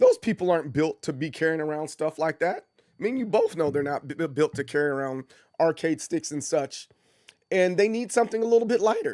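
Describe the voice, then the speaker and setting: On a very clean recording with a silent background and a dry, close sound with no echo, a man uses an ordinary speaking voice, fairly high in pitch with lively intonation. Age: 40s. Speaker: gaming streamer. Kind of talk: live stream casual talk. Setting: live stream.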